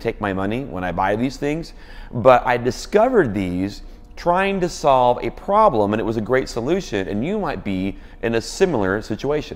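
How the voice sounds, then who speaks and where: Lively intonation from a man, moderate in pace. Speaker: worship leader blogger. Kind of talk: product review tutorial. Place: office. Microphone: lapel.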